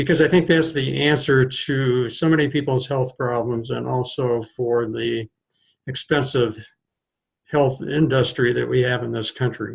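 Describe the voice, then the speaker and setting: A somewhat breathy man with an American accent and medium pitch speaks at a fairly slow pace with fairly even intonation. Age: 70s. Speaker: retired family physician. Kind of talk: educational talk to camera. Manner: halting, with fillers.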